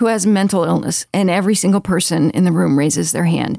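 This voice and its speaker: With an American accent and an ordinary speaking voice, a woman talks fairly quickly and with lively intonation, the sound dry and close with no echo. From Baltimore, US Northeast. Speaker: psychiatrist. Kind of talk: interview. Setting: studio.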